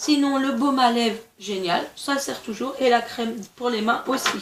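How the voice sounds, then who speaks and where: There is audible room echo as this woman speaks at a fairly slow pace. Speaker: beauty vlogger. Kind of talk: casual product review vlog. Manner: stumbling over words.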